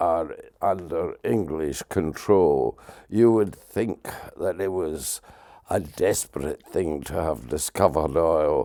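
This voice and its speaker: A man talks with a Scottish accent. His pace is very slow. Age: 80s+. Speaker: political campaigner. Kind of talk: interview.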